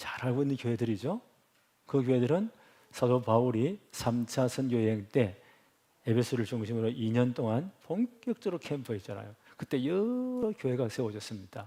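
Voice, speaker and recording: Dark and mellow in tone, a man speaks at a medium pitch with ordinary pitch variation. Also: moderate pace. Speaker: pastor. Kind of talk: sermon.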